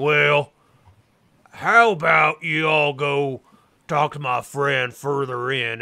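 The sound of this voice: A put-on character voice from a man in a Southern US accent, fairly high in pitch, very slow, with long, frequent pauses. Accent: southern American drawl.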